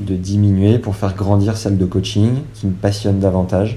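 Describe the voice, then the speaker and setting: A man speaks at a moderate pace with a fairly low pitch. His tone is dark, mellow, and somewhat breathy. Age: 20s. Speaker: podcaster and dog owner. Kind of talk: casual interview.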